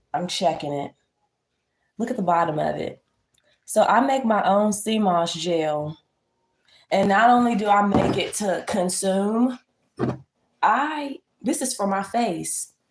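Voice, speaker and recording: At a fairly slow pace with long, frequent pauses, a woman talks in an animated tone at a medium pitch. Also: lively intonation. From Virginia. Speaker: lifestyle livestreamer. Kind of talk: casual livestream chat and tutorial. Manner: animated, casual.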